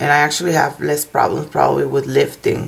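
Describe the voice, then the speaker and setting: A woman with a non-native accent speaks at a very deep, low pitch with vocal fry. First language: not English. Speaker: nail technician. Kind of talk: tutorial. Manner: halting.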